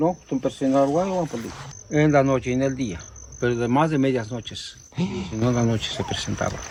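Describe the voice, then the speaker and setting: Noticeable background noise sits behind a man with a Mexican accent. He talks at a fairly quick pace with ordinary pitch variation. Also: medium pitch for a man. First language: Nahuatl (speaking Spanish). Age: 70s. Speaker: local villager. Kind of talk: casual storytelling.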